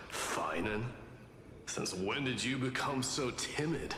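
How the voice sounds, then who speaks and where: A put-on character voice goes at a fairly slow pace, with slight echo and loud background noise. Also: man, medium pitch for a man. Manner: condescending.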